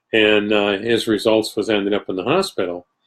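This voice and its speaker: Here is a man with a normal speaking voice and an American accent. His pitch is fairly low, and his intonation is fairly even. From New York State. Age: 60s. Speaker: spiritualist medium and teacher. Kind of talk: casual talk to a live online audience. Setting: live video stream.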